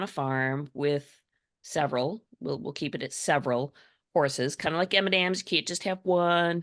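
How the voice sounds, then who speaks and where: The delivery is animated, with lively intonation at a moderate pace. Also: woman. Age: 60s. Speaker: EFT practitioner, writer and numerologist. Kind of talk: podcast interview.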